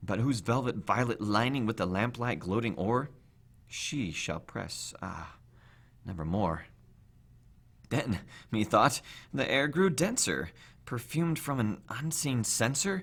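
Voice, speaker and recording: A man at medium pitch speaks at a fairly slow pace with very wide pitch swings. He leaves long, frequent pauses, and the recording is very clean with a silent background. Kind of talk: poetry reading, dramatic horror narration.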